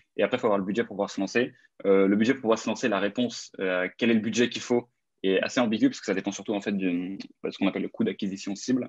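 A man talking at a very fast pace in a fairly low pitch. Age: 20s. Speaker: ad agency founder. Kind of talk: interview.

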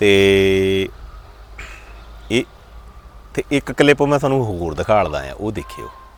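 Over noticeable background noise, a man with a fairly low voice makes very wide pitch swings. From Doaba, Punjab. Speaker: vlogger. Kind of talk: casual talk to camera.

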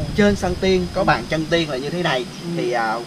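A man with a fairly high voice and ordinary pitch variation speaks at a moderate pace amid noticeable background noise. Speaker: travel vlogger. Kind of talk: casual vlog narration and interview. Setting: outdoors on location. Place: open country.

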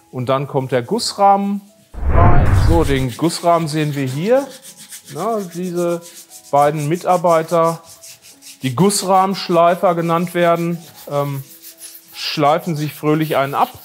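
This man's pitch is high, with ordinary variation. He goes at a very slow pace with long, frequent pauses. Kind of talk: casual walkthrough commentary. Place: workshop. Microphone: lapel.

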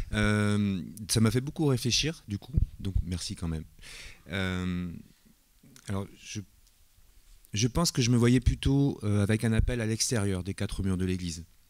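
Long pauses come often, at a fairly slow pace. Pitch varies in an ordinary way over a quiet background. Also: man, fairly low pitch for a man. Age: 50s. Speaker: church elder in training. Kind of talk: testimony. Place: church. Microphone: handheld.

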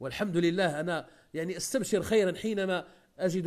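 Against a quiet background, a man with a high voice speaks fairly slowly and with fairly even intonation. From Morocco. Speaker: Islamic preacher. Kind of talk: religious lesson. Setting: live online session. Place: home room. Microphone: earbuds.

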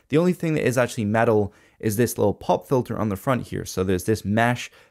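A man with an ordinary speaking voice, fairly low in pitch, at a fairly quick pace, with ordinary pitch variation. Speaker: tech reviewer. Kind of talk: product review commentary. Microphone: studio mic.

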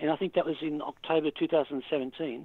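Ordinary pitch variation comes through in speech with an Australian accent. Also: man. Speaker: author. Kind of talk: interview. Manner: hesitant, many fillers.

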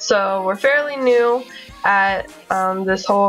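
A woman with an American accent over faint music in the background. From Florida. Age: 20s. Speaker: military wife. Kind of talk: casual talk to camera. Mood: friendly, upbeat. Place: home room. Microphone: webcam.

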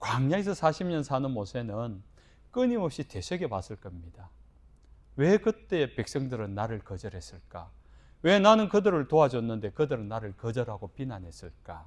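At a moderate pace, a man with a medium pitch makes very wide pitch swings and big swings in loudness. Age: 50s. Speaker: pastor. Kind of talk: sermon.

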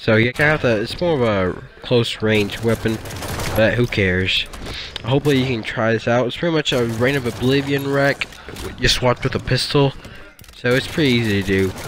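A man with a medium pitch talks fairly quickly, his pitch varying in an ordinary way, as noticeable background noise runs underneath. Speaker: gamer. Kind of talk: casual gameplay commentary. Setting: background noise at home. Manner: excited.

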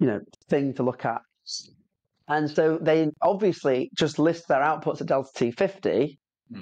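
A man with a British accent speaks at a moderate pace with a fairly high pitch. His pitch variation is ordinary, and he leaves long, frequent pauses. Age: 30s. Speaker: podcast host, heating product business owner. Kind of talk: casual interview chat.

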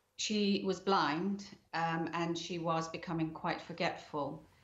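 Speaking very slowly in a room with audible echo, a woman keeps a fairly low pitch and fairly even intonation. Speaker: bereaved family member. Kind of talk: interview. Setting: remote link from home. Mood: grieving, calm, sombre. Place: home room. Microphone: webcam.

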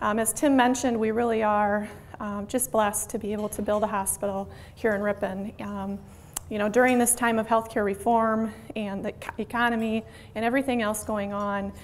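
Over light background noise, a woman speaks fairly quickly in a flat monotone. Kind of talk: presentation to a club. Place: meeting room. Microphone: handheld.

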